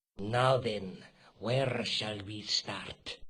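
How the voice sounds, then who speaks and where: Putting on a character voice, a man speaks at medium pitch with fairly even intonation. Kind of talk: stiff formal English, no contractions. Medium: video game. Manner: formal, calm, menacing.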